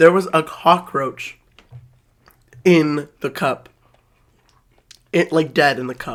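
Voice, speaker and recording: In a put-on character voice, the speaker shouts with a raspy, middle-pitched sound at a fairly slow pace, leaving long, frequent pauses. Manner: yelling.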